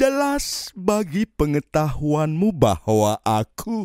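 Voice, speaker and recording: A man's dark, mellow, fairly high voice at a very slow pace with very wide pitch swings, on a very clean recording with a silent background. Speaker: audiobook narrator. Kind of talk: audiobook poetry reading, spoken word. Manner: slow, contemplative, lyrical; wistful, yearning, dramatic.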